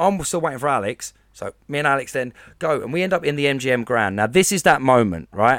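This man has an Essex accent and a fairly high pitch. He talks at a fairly quick pace with lively intonation, on a very clean recording with a silent background. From Essex, England. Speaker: podcast co-host. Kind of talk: casual chat.

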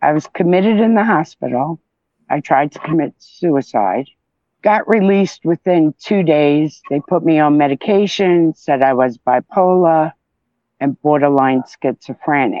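Fairly slowly and with very even loudness, a woman speaks in a very deep, low voice with lively intonation. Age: 50s. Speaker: podcast guest, survivor and mother. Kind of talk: casual personal interview, telling her story.

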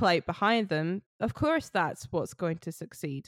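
Lively intonation in a Scottish accent at a fairly slow pace, dry and close with no echo, on a very clean recording with a silent background. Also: woman. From Scotland. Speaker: folk musician. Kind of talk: casual interview chat.

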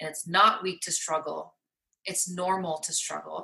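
A woman speaks at a fairly low pitch in a monotone, flat intonation. Her tone is bright and sharp, with vocal fry. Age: 30s. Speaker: salon owner and hairstylist. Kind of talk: casual interview.

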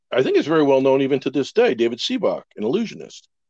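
This man has an ordinary speaking voice and an American accent. His pitch is fairly high, with lively intonation. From Wisconsin. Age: 60s. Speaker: magician. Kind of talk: casual chat.

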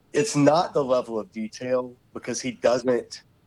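Speaking at a fairly slow pace, a man uses an ordinary speaking voice at medium pitch. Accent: American. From US South, Savannah, Georgia. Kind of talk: interview.

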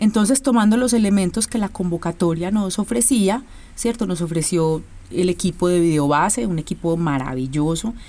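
At a moderate pace, a woman speaks with a medium pitch and lively intonation. Her tone is dark and mellow. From Colombia, Medellín. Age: 40s. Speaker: choreographer and dance company director. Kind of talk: interview.

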